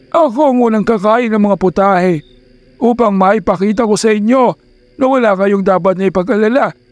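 A man at a high pitch, moderate in pace, pitch varying in an ordinary way. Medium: read story. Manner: calm, dignified, reassuring.

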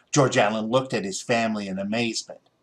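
A man speaks at a moderate pace, his pitch swinging in big leaps.

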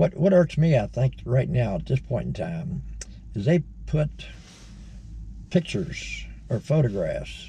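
With light background noise behind him, a man with an American accent speaks at a very slow pace. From Virginia, Shenandoah Valley; Virginia. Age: 70s. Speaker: retired video blogger. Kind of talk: casual monologue. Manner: halting. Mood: mildly irked, opinionated. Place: car. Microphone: phone near.

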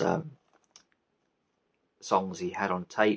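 A man speaks slowly in a low voice with ordinary pitch variation, a slightly husky edge and vocal fry.

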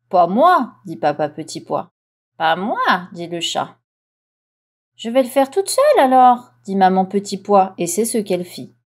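A woman's medium-pitched, gentle, soothing tone with lively intonation, a fairly slow pace and long, frequent pauses, on a very clean recording with a silent background. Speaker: audiobook reader. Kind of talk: bedtime story read aloud. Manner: gentle, soothing storyteller pace; animated, with distinct character voices for mama, papa and cat.

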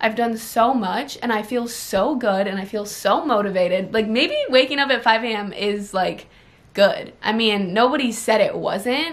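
Ordinary pitch variation accompanies speech at a moderate pace. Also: woman. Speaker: lifestyle vlogger. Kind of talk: casual vlog chat. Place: home room. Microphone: camera far.

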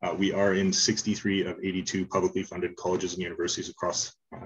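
A man's somewhat breathy voice, fairly low in pitch, at a fairly quick pace. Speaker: presenter. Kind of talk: conference presentation. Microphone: video call.

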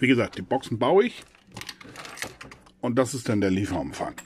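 This man speaks at a moderate pace in a medium pitch with big pitch swings. His tone is slightly mellow, with a slightly husky edge.

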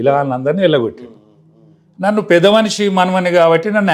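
A man's high-pitched voice with lively intonation. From Telangana, Warangal area. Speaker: politician. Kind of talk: interview, personal story.

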